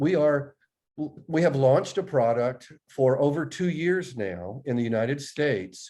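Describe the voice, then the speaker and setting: A man speaks with an American accent at a fairly high pitch, his tone dark and mellow. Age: 60s. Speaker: agricultural company executive. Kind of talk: interview.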